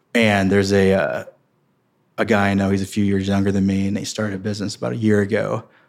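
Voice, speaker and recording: A man rattles along very fast in a fairly low voice, its pitch varying in an ordinary way. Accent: Midwestern American. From Missouri, St. Louis area. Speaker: real estate investment executive. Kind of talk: interview.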